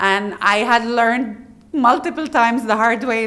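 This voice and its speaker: A woman talks with a fairly high pitch. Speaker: HR director. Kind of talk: interview. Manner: loud.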